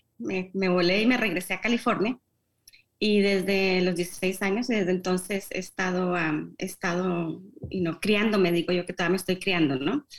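The speech moves at a moderate pace. It is a normal speaking voice. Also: woman. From Colombia, Bogotá. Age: 50s. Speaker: newspaper founder. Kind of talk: interview. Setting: remote video call.

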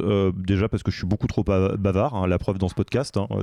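In a dry, close recording with no echo and a quiet background, a man with a dark, mellow tone speaks at a fairly quick pace. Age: 30s. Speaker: podcast host and leadership coach. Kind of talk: casual interview chat. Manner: hesitant, many filler words.

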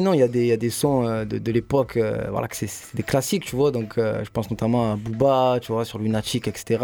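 A man with an unremarkable speaking voice. His pitch is medium and his pace is moderate. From Marseille, 15th district. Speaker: rapper. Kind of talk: radio interview.

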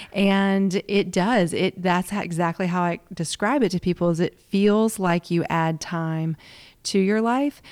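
Speaking at a fairly slow pace, a woman has a medium pitch and ordinary pitch variation. The recording is very clean, with a silent background, and the sound is dry and close, with no echo. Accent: Southern. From US South. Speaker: yoga and meditation teacher. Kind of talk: interview.

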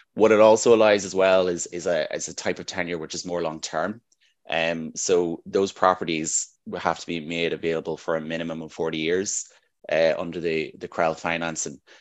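A man with a very deep, low voice and a Northern Irish accent speaks at a moderate pace with fairly even intonation and big swings in loudness. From Northern Ireland. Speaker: housing development manager. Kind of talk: interview.

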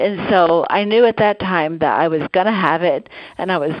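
At a moderate pace, a woman speaks in an unremarkable speaking voice, fairly low in pitch with ordinary pitch variation. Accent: American. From Omaha, Nebraska. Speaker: radiologist caller. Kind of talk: casual call-in chat. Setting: phone call.

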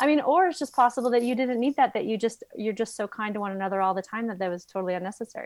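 With an American accent, a woman at a fairly high pitch talks at a very fast pace with hardly any pauses and ordinary pitch variation. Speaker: animal behaviorist and author. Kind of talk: interview. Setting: video call. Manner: loud.

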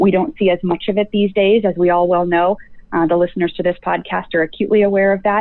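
Woman with a US Midwestern accent, medium pitch, a very fast pace, fairly even intonation and very even loudness. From US Midwest, rural Nebraska. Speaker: healthcare leadership educator. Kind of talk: interview.

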